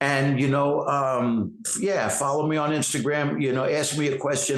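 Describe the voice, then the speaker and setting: A man with a New York accent, fairly high pitch, ordinary pitch variation, moderate pace and hardly any pauses. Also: very even loudness. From New York City, Queens. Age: 60s. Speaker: actor and fitness trainer. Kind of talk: interview.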